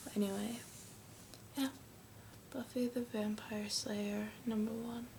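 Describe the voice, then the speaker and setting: Over noticeable background noise, a soft-spoken woman with an American accent talks very slowly in a flat, monotone delivery. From United States. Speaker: ASMR creator. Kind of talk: casual talk to camera.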